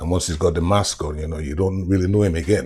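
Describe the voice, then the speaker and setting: Somewhat breathy speech at a fairly quick pace with ordinary pitch variation, on a very clean recording with a silent background. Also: man. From Carriacou, then Yorkshire (Huddersfield) from age 10. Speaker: interviewee sharing life story. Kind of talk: oral history interview. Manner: conversational, repetitive fillers.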